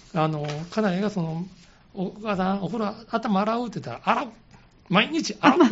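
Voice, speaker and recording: A man talks at a moderate pace with a high pitch. He leaves long, frequent pauses. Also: ordinary pitch variation. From Osaka. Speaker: caregiver support group leader. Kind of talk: radio interview.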